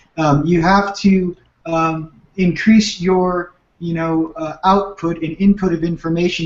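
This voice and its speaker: Here a man speaks at a high pitch. His intonation stays fairly even. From Southern California (Manhattan Beach). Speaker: spiritual teacher. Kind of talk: radio interview.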